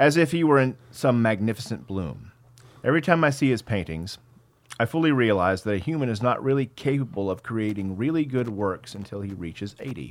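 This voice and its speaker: A man's medium-pitched, normal speaking voice with an American accent, lively intonation and a fairly quick pace. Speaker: podcast co-host. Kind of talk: casual chat, profane banter.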